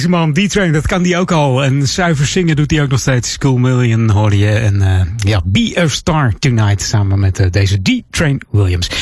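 With an upbeat, warm tone, a man speaks at a moderate pace and medium pitch, his pitch swinging very widely while his loudness stays very even, with hardly any pauses and noticeable background noise. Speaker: radio host. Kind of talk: radio dj patter. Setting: radio studio. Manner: chatty and relaxed, easy-going; upbeat with warm festive cheer.

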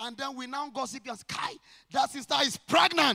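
A raised, projected voice with a bright, sharp tone moves at a moderate pace. The sound is dry and close, with no echo. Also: man. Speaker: pastor. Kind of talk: sermon. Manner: loud; animated.

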